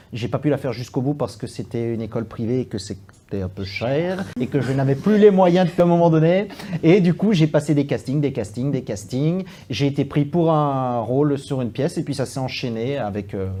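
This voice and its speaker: A man with a slight Belgian accent speaks at a moderate pace. His fairly high voice has a dark, mellow tone and lively intonation. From Belgium. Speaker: stage actor and playwright. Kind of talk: interview. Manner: halting, many fillers and repetitions.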